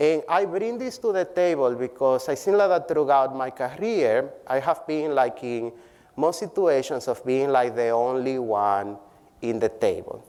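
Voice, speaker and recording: This man talks at a fairly slow pace with a non-native accent. His pitch is fairly high and his intonation lively. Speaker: public health professor. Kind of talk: keynote speech. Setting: conference stage with audience.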